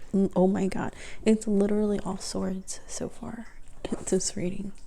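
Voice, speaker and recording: Keeping a moderate pace, the voice is soft-spoken. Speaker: tarot reader. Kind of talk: tarot reading.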